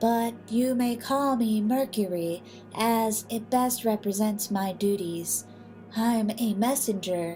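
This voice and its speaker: Against clear background noise, a woman uses a put-on character voice with a fairly high pitch at a fairly slow pace. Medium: read story. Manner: calm, formal.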